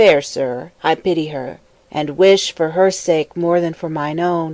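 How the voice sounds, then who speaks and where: Someone performs a put-on character voice at a fairly slow pace with fairly even intonation. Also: woman, fairly low pitch for a woman. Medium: audio drama. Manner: calm, kindly.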